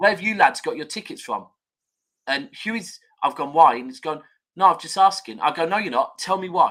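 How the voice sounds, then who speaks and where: A man's high-pitched voice, bright and sharp in tone, with lively intonation, big swings in loudness and a fairly quick pace. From Manchester, England. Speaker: football fan pundit. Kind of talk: casual chat.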